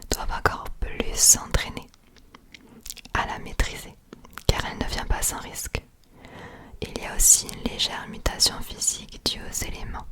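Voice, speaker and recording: Over noticeable background noise, a woman whispers fairly slowly with long, frequent pauses and big swings in loudness. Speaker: ASMR creator. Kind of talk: fantasy lore reading. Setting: binaural recording. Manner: whispered.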